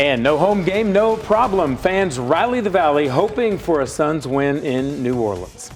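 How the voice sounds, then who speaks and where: Music plays behind a man whose fairly high voice swings very widely in pitch. He speaks fairly slowly, with hardly any pauses. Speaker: TV news anchor. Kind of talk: local TV newscast anchor read.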